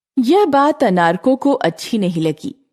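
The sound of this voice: Someone reads in an unforced voice. Nothing about the reading is pushed.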